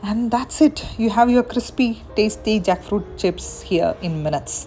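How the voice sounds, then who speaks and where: Music plays in the background while a woman speaks. She talks at a fairly slow pace in a Keralan accent. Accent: Indian English (Malayali). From India, Kerala. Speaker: home cook. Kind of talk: cooking tutorial.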